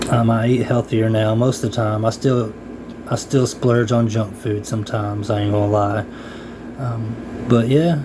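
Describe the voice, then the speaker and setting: Over noticeable background noise, the talking holds a moderate pace and fairly even intonation. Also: man, medium pitch for a man. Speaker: vlogger sharing personal experience. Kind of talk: casual personal talk to camera. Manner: hesitant, many fillers.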